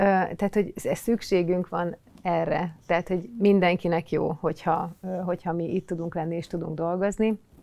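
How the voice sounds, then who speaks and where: Delivery comes at a moderate pace with fairly even intonation. The tone is dark and mellow. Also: woman, fairly low pitch for a woman. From eastern Hungary, Hajdú-Bihar county; Hungary. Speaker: recruitment lead and mother; podcast guest. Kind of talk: casual chat. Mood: calm, reflective. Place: studio. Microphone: lapel.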